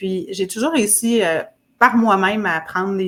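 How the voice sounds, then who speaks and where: A woman of medium pitch speaks with a Quebec accent and fairly even intonation. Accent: Québécois French. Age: 40s. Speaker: fitness program client. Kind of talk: interview testimony.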